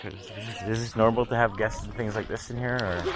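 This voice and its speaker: Over music in the background, a man speaks fairly quickly at a medium pitch. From Manitoba, Canada (Peguis First Nation). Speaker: videographer. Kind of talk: casual chat. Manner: halting.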